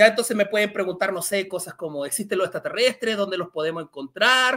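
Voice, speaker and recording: A man speaks in a raised, projected voice at a very fast pace, his pitch high with ordinary variation. The background is quiet. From Chile. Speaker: science communicator. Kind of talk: Q&A talk; lecture.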